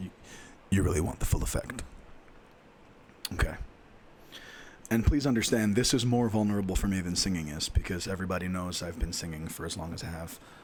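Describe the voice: In a raspy put-on character voice with very deep, low pitch, a man talks quietly at a very fast pace, with long, frequent pauses, big swings in loudness and light background noise.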